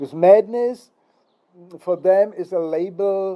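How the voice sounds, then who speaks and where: This man speaks with a Czech accent at a fairly slow pace, with ordinary pitch variation. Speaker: philosophy lecturer. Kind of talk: philosophical monologue. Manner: hesitant, many fillers.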